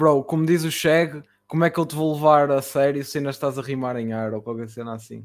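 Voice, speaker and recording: A man speaks at a fairly quick pace in an ordinary speaking voice, his pitch fairly high and his loudness swinging widely. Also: ordinary pitch variation, very clean recording, silent background. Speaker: podcast host and rapper. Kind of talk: casual interview.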